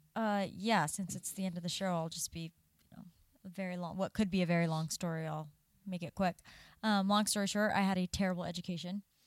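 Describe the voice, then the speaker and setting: On a very clean recording with a silent background, a woman with an American accent speaks at a medium pitch and a fairly quick pace, her intonation monotone and flat while her loudness swings widely. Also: dry, close sound with no echo. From Southern California. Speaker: podcast co-host. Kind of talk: casual chat.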